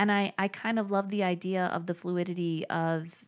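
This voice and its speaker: This is a woman with a fairly low pitch and ordinary pitch variation, an ordinary speaking voice. The recording is very clean, with a silent background. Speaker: podcast host. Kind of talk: casual interview chat.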